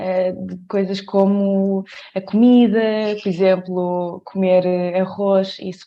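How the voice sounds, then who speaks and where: A woman speaks in a flat monotone. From Portugal, Coimbra. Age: 20s. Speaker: dancer. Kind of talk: podcast interview. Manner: hesitant, many fillers.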